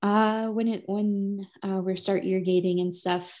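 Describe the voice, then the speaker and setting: A woman with an Upper Midwest accent, fairly slow, her intonation monotone and flat, her tone dark and mellow, against a quiet background. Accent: Upper Midwest American. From Wisconsin. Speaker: cranberry grower and podcast host. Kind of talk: casual chat.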